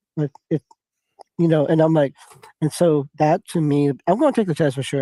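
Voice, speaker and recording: Dark and mellow in tone, a man with a fairly high pitch keeps his intonation fairly even, captured in a dry, close sound with no echo. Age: 60s. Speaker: business owner, former motivational seminar intern. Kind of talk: casual chat. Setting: livestreamed podcast studio.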